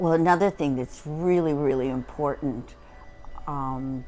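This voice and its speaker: With music in the background, a woman speaks fairly slowly at a very deep, low pitch with ordinary pitch variation. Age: 80s+. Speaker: retired psychologist. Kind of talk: casual chat. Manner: halting.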